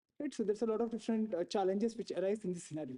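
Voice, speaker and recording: Very fast delivery with an Indian accent. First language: Tulu. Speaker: researcher presenting hackathon work. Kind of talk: conference presentation. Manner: frequent fillers (you know, uh).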